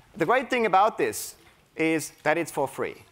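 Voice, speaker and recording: Here a man talks with a high pitch. His intonation is lively. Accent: German. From Germany. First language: German. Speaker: creativity coach at a tech company. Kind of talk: conference talk. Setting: stage with audience. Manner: energetic.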